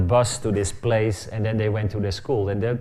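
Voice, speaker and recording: Audible room echo follows a man with a Dutch accent as he talks at a fairly quick pace. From Netherlands. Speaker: architect. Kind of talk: lecture. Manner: fast; halting.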